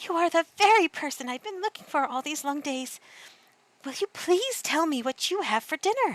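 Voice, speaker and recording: A woman uses a put-on character voice at an extremely high pitch and a moderate pace. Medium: read story. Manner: polite.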